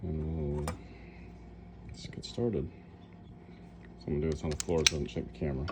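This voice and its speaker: A man's mumbling at a very fast pace in a very deep, low pitch, with ordinary pitch variation and long, frequent pauses. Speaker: coin ring maker. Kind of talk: casual tutorial talk while working.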